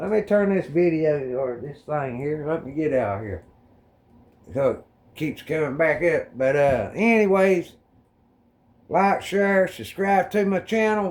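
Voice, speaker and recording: A man with an American accent, fairly high pitch and lively intonation, at a fairly slow pace with long, frequent pauses. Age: 50s. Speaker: YouTuber. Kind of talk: casual video response monologue.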